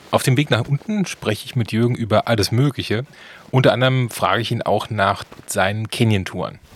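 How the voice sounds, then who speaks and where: The speech has ordinary pitch variation at a fairly quick pace. Noticeable background noise can be heard. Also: man, medium pitch for a man. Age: 40s. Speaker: travel podcast host. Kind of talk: travel narration and interview. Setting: outdoors hiking in the mountains.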